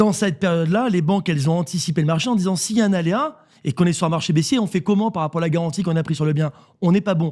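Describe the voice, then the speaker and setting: Here a man talks at a very fast pace in a high pitch with ordinary pitch variation. The recording is very clean, with a silent background. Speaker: real estate network CEO. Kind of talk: radio interview.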